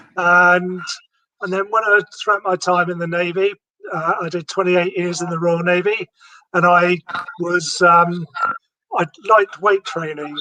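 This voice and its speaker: A man speaks at a high pitch in a monotone, flat intonation, leaving long, frequent pauses. The sound is dry and close, without echo. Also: moderate pace. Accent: British. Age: 50s. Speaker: retired navy veteran and fitness enthusiast. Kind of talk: interview.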